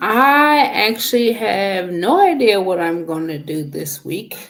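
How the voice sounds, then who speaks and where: A woman speaks at a very slow pace in a medium-pitched voice. Her pitch swings very widely. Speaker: channel moderator and new YouTuber. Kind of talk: casual livestream chat. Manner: soft-spoken.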